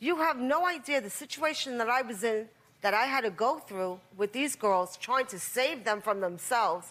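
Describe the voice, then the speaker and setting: A woman speaks loudly at a moderate pace. Her high pitch makes very wide swings. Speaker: talk show guest in family conflict. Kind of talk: heated confrontation.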